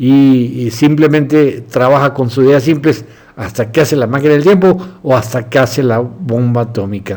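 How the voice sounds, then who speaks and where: The speech moves at a moderate pace. Pitch rises and falls in an ordinary way. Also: man, medium pitch for a man. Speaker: doctor and philosophy lecturer. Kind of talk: lecture. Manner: halting.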